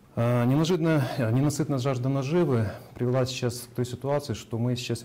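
A plain, everyday voice comes through with ordinary pitch variation. The pace is moderate. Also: man. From Ukraine, Kyiv. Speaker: private entrepreneur. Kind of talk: personal testimony. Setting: video call.

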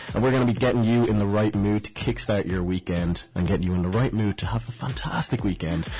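Over music in the background, a man with an Irish accent talks at a very fast pace, barely pausing, his fairly low pitch held at a very even loudness. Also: ordinary pitch variation. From Ireland. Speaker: student radio host. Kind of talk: upbeat campus radio DJ patter, effusive banter. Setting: studio. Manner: animated, enthusiastic, chatty.

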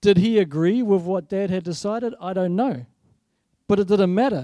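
A man with a New Zealand accent speaks in a high pitch with a dark, mellow tone. His pace is moderate, and the recording is very clean with a silent background. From New Zealand, South Island. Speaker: guest preacher. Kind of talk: sermon. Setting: church.

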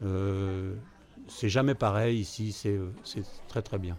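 Very slow delivery from a man, fairly low in pitch, with fairly even intonation. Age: 70s. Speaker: retiree, café regular. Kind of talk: interview testimony. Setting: café. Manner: talkative.

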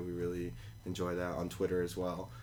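Here is a man speaking. His pitch is very deep and low. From New York City (Queens), Colombian immigrant parents. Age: 20s. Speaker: cafe owner. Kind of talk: interview. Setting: tiny house, in person. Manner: many fillers and restarts.

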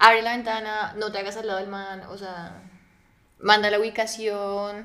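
A woman speaks at a fairly slow pace with a medium pitch, a bright, sharp tone, monotone, flat intonation and big swings in loudness. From Colombia, Neiva (Huila). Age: 20s. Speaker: podcast guest. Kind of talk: casual chat.

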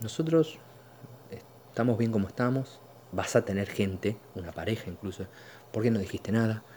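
In a Rioplatense accent, a man speaks at a moderate pace and fairly low pitch with ordinary pitch variation and long, frequent pauses. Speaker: podcast host. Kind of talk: casual monologue. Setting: at home, living room. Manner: halting, many fillers.

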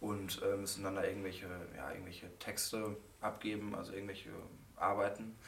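Echoing in the room, a man's fairly low, flat, monotone voice runs at a fairly quick pace but breaks into long, frequent pauses. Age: 20s. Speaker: psychology student. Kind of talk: casual chat.

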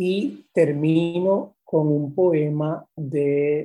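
A fairly high-pitched man speaks in a somewhat breathy, dark, mellow tone with fairly even intonation. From Puerto Rico. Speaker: poet and university professor. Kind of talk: casual interview.

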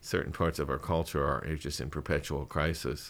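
Heard in a very clean recording with a silent background, a man with a very deep, low pitch and vocal fry speaks in a monotone, flat intonation. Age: 50s. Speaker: licensed counselor. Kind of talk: interview.

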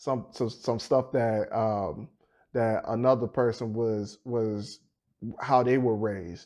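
A man speaks at a fairly slow pace, his medium-pitched voice carrying a dark, mellow tone. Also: quiet background. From Petersburg, Virginia (US South). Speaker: podcast co-host. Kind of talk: casual chat.

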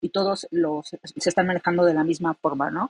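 This woman has a normal speaking voice. She talks at a fairly quick pace with ordinary pitch variation. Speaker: blockchain developer. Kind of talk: casual chat.

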